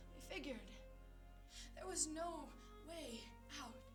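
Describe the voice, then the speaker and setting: There is music in the background while a woman speaks at a moderate pace. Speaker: poet. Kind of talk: slam poetry performance. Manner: earnest, impassioned.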